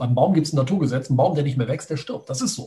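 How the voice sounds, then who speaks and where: This man's voice is somewhat breathy with a dark, mellow tone, set at a fairly high pitch and carried by lively intonation. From Düsseldorf, western Germany. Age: 40s. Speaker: online entrepreneur. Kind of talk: interview.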